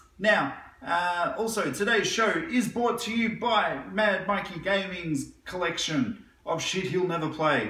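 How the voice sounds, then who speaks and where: Raised and projected, a man's high-pitched voice moves at a fairly slow pace with ordinary pitch variation, and audible room echo surrounds it. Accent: Australian. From Australia. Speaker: gaming news youtuber. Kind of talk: casual news roundup. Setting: living room. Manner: animated. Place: home room. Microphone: camera far.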